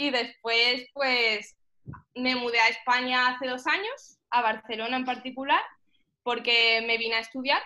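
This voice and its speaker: Her pitch is high, and this woman keeps her intonation fairly even. She talks at a fairly slow pace. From Egypt (Cairo), also lived in Iran and Argentina as a child. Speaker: powerlifting athlete and strength coach. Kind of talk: podcast interview.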